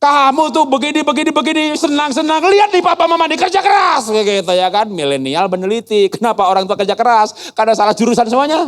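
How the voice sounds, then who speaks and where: The voice is animated and very fast. Its pitch swings very widely. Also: man. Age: 60s. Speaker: guest speaker, educator. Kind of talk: sermon. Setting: church youth service hall.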